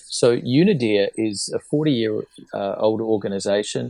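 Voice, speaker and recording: A man talks at medium pitch with a New Zealand accent. The sound is dry and close, with no echo. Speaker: disarmament researcher, former diplomat. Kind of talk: interview podcast. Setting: remote call from Geneva.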